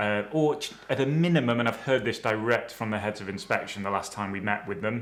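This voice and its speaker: Using a British accent, a man talks at medium pitch and a fairly quick pace with ordinary pitch variation. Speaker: dental compliance trainer. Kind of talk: webinar presentation. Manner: fast; hesitant, many fillers.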